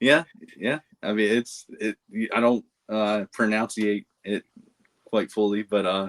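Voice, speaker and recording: Speaking slowly with long, frequent pauses, a man with a Baltimore accent uses fairly even intonation and a fairly low pitch, recorded with a dry, close sound and no echo. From Baltimore area, Maryland (Dundalk). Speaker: podcast co-host, reseller. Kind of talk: casual chat.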